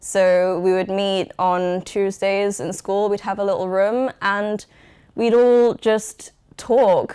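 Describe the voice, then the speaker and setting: In a dark, mellow tone, a woman with a medium pitch speaks at a very slow pace with fairly even intonation. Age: 20s. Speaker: documentary interviewee. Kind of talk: interview testimony.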